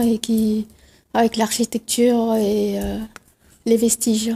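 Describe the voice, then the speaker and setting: A woman with a Tamil accent, a dark, mellow tone and monotone, flat intonation. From India, Pondicherry. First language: Tamil (speaking French). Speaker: novelist. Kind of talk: TV interview.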